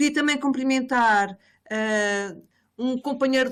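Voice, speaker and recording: A woman talks at a moderate pace, captured in a very clean recording with a silent background. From Portugal. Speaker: professor. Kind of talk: academic presentation. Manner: halting, many fillers and repetitions.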